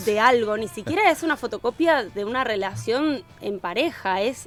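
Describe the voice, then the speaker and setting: Music plays in the background as a woman with a fairly high pitch and lively intonation speaks at a moderate pace. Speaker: early education specialist and children's content creator. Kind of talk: podcast interview answer.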